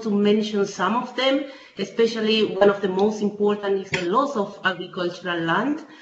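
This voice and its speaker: A woman speaks with ordinary pitch variation and an audible room echo. Light background noise sits underneath. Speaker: urban policy researcher. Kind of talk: webinar presentation. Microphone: video call.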